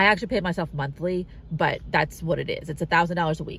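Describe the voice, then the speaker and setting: A woman talks very fast in a dry recording with no echo and light background noise. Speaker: car-living nomad vlogger. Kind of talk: casual vlog chat. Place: car. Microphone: phone near.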